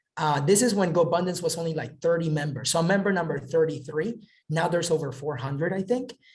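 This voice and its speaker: Speaking very fast with hardly any pauses, a high-pitched man sounds animated. He has an American accent and ordinary pitch variation. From Southern California. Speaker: real estate investor. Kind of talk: webinar talk.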